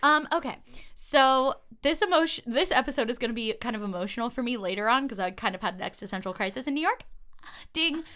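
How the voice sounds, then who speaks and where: Loud and very fast, a woman speaks at a high pitch in a bright, sharp tone with lively intonation. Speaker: YouTuber and podcast host. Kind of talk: casual chat.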